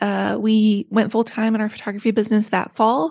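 A woman with an ordinary speaking voice, fairly high pitch, an American accent and a fairly quick pace. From rural West Virginia. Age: 40s. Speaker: author. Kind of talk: casual interview chat.

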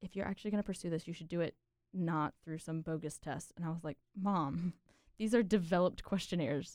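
Her pitch is fairly low and varies in an ordinary way, in a normal speaking voice. This woman is heard in a very clean recording with a silent background and a dry, close sound with no echo. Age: 20s. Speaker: engineering student. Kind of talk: casual chat.

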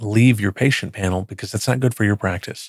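Recorded very cleanly against a silent background, a man with an American accent speaks in a plain, everyday voice with fairly even intonation and a dry, close sound with no echo. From Texas, Dallas area (Plano). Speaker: healthcare tech executive. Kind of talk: interview conversation. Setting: studio.

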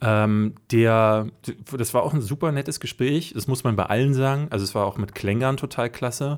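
A man with a plain, everyday voice speaks at a moderate pace, his medium pitch showing ordinary variation. The recording is very clean with a silent background. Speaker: podcast host. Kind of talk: casual banter podcast.

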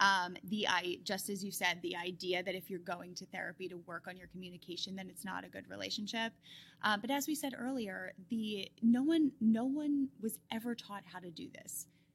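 Speaking with hardly any pauses, a woman at a medium pitch sounds somewhat breathy, with lively intonation and big swings in loudness. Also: moderate pace. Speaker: marriage, family and sex therapist. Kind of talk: casual interview.

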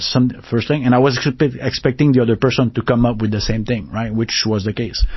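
In a French Canadian accent, a man talks at a very fast pace with a medium pitch and fairly even intonation. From Quebec, northern region. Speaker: technology executive. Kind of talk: interview. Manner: halting.

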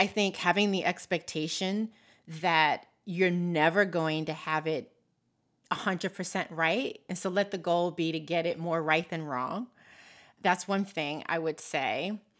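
A woman with an unremarkable speaking voice, fairly low in pitch, at a fairly slow pace and with fairly even intonation, on a very clean recording with a silent background. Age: 50s. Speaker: financial behaviorist. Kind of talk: interview.

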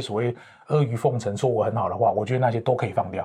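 A man speaks at a very fast pace with a dark, mellow tone. His voice is somewhat breathy. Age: 50s. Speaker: professional corporate trainer and author. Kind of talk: interview.

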